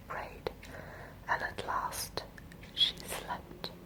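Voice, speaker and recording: Someone whispers very slowly, with noticeable noise in the background. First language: Scandinavian language. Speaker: ASMR creator. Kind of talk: ASMR reading aloud. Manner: whispering.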